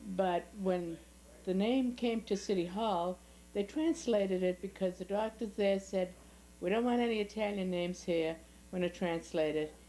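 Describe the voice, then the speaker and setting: A woman in a Boston accent, medium-pitched with a dark, mellow tone, ordinary pitch variation and a moderate pace. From US Northeast, South Boston, Massachusetts. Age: 80s+. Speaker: family elder interviewee. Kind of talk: oral history interview. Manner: halting.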